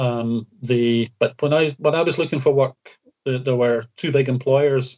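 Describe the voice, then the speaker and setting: A man with a west of Scotland accent, medium in pitch, with fairly even intonation. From Scotland, Greenock (west coast). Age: 60s. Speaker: retired county badminton player. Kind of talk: casual interview chat. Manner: halting, many fillers.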